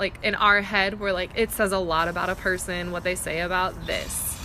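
A woman with a medium-pitched voice talks at a moderate pace while noticeable background noise carries on. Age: 20s. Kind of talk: casual chat.

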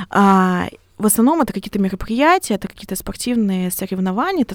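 A woman with a plain, everyday voice speaks at a fairly quick pace and a medium pitch. Her pitch variation is ordinary, and the sound is dry and close with no echo. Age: 20s. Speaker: volunteer centre head. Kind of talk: podcast interview.

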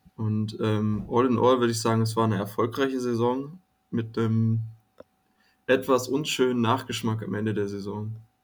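A man's medium-pitched voice with fairly even intonation, a moderate pace, and audible room echo. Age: 20s. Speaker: student, fan community guest. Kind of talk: casual chat.

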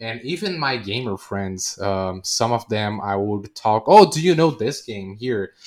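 A man with a Portuguese accent speaks at a medium pitch and a fairly slow pace, using lively intonation and hardly any pauses. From Brazil. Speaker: Twitch streamer. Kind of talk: casual interview.

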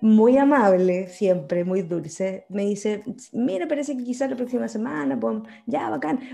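Music plays in the background as a woman speaks at a fairly slow pace with a Chilean accent. Her fairly high pitch moves in very wide swings. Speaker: podcast co-host. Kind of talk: casual chat.

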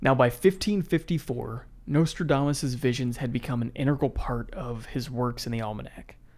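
A man's normal speaking voice at medium pitch, with an American accent, a moderate pace, hardly any pauses and ordinary pitch variation, on a very clean recording with a silent background. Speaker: podcast co-host. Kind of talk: casual chat and history storytelling.

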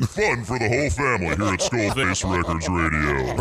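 Noticeable background noise is heard as a man talks at a moderate pace, his pitch swinging very widely. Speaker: studio guest on radio show. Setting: studio.

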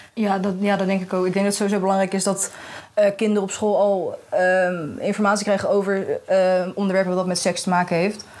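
A woman's medium-pitched voice at a fairly quick pace in monotone, flat intonation. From Netherlands, The Hague. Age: young. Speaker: journalism student. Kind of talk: casual chat. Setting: festival podcast recording.

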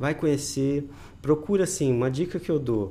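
Speaking at a moderate pace, a man with a fairly high pitch uses lively intonation and a dark, mellow tone. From Brazil, interior of Paraná. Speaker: microphysiotherapy therapist and university professor. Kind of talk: interview explanation.

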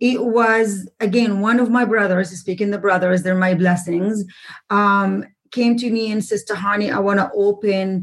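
A woman with an Arabic accent speaks at a moderate pace in a medium pitch, her somewhat breathy voice carrying fairly even intonation on a very clean recording with a silent background. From Jordan. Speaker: real estate investor and author. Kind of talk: interview.

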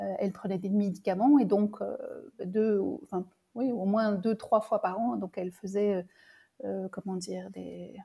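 In a very clean recording with a silent background, a woman of medium pitch speaks at a fairly slow pace with long, frequent pauses, her dark, mellow tone somewhat breathy and her intonation fairly even. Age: 60s. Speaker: medium and intuitive coach. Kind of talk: interview, personal testimony. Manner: halting, with many repetitions and fillers.

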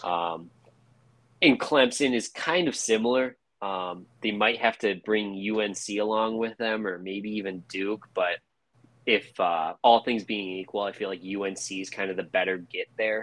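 With a normal speaking voice, a man speaks fairly slowly at a fairly low pitch with ordinary pitch variation. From Chicago. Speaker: sports podcast host. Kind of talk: casual chat.

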